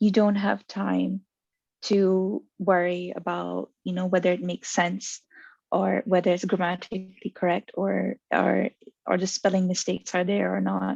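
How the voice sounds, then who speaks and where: In a dry, close sound with no echo and a quiet background, a woman speaks with a non-native accent. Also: fairly slow pace. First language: not English. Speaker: guest, journaling practitioner. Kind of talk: casual interview chat.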